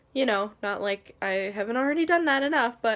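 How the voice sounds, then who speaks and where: Here is a woman with an ordinary speaking voice, pitched fairly high. She talks at a moderate pace. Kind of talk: casual talk to camera.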